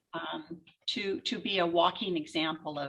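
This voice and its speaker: A woman talks with fairly low pitch and ordinary pitch variation. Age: 60s. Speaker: portrait photographer and author. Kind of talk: interview. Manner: halting.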